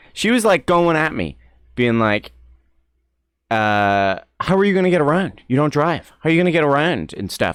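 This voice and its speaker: An animated man speaks with an American accent at a fairly high pitch. His pitch swings very widely, and the sound is dry and close with no echo. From Ireland, Gweedore (Donegal). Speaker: streamer. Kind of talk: casual chat. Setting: live stream.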